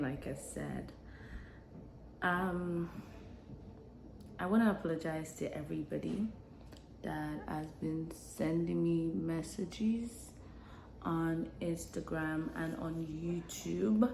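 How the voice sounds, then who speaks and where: Soft-spoken and very slow, the voice leaves long, frequent pauses, with room echo audible throughout. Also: woman. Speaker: lifestyle vlogger. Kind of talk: casual vlog monologue. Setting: home, early morning. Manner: hesitant.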